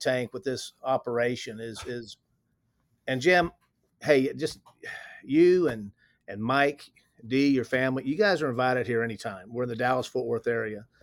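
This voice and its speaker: A man with a Texan accent, medium pitch, ordinary pitch variation and a moderate pace. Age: 60s. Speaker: company president. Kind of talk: interview.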